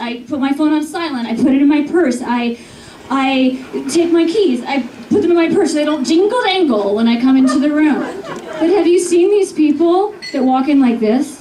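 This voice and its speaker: A woman at a high pitch with lively intonation and a moderate pace, crowd noise in the background. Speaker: stand-up comedian. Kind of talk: stand-up comedy routine.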